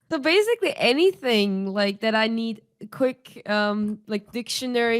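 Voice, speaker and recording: Speaking at a fairly slow pace, a woman with a non-native accent uses a fairly high pitch. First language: not English. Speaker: podcast co-host. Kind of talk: casual chat.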